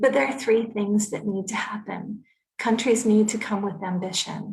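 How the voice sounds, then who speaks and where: A woman with a North American accent talks at a moderate pace and a fairly high pitch. Hers is an ordinary speaking voice with fairly even intonation. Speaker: climate policy expert. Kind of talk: conference presentation.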